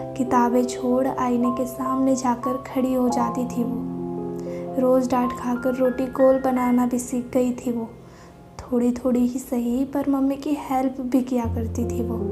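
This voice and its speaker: With music in the background, a woman talks with hardly any pauses. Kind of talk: poetry reading.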